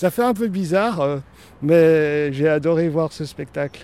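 His tone comes across dark and mellow. The man's voice sits fairly high, with pitch varying in an ordinary way. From Switzerland. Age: 30s. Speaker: formerly homeless park guide. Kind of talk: casual guided walk. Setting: outdoors in a park.

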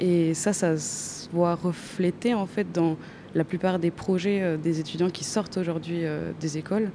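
Fairly low in pitch, a woman talks at a fairly slow pace with fairly even intonation in an unremarkable speaking voice. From Chile. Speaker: architecture student. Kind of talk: interview. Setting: exhibition hall.

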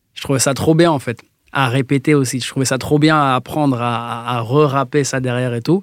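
A normal speaking voice: a man at medium pitch, fairly quick in pace, with fairly even intonation. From France, Metz. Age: 20s. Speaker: music producer. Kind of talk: casual chat.

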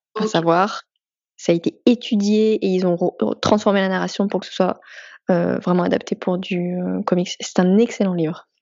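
A woman uses a normal speaking voice at medium pitch, moderate pace and fairly even intonation. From France. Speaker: comics artist. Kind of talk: casual interview.

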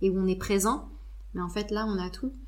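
Amid noticeable background noise and audible room echo, a woman at medium pitch speaks at a moderate pace. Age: 40s. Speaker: naturopath. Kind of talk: casual chat.

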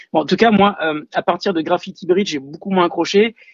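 The speaker is a man. He moves at a fairly quick pace with ordinary pitch variation. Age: 40s. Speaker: music fan. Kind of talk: testimony.

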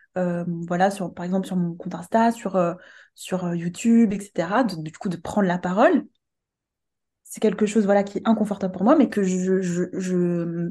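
Dark and mellow in tone, a woman's somewhat breathy voice at a medium pitch moves at a moderate pace with ordinary pitch variation. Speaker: coach and medium. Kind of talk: casual interview chat. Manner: soft-spoken; hesitant, many filler words.

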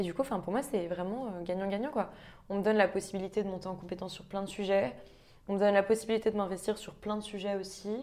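A woman with a dark, mellow tone talks at a very fast pace in medium pitch, with ordinary pitch variation and big swings in loudness. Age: 20s. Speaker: management consultant. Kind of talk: casual interview.

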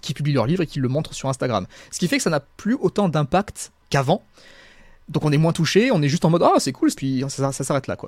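A man's fairly high voice at a very fast pace with lively intonation, dry and close with no echo, on a very clean recording with a silent background. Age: 20s. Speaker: self-published fantasy author and YouTuber. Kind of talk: casual interview. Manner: halting, repeats words.

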